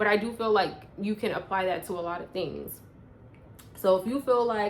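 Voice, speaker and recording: At a moderate pace and medium pitch, a woman talks in a normal speaking voice with ordinary pitch variation. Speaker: personal growth vlogger. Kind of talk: casual vlog monologue.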